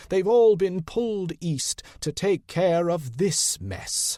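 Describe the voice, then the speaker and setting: A put-on character voice from a man, high-pitched and very slow. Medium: read story. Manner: weary, blunt, shrewd.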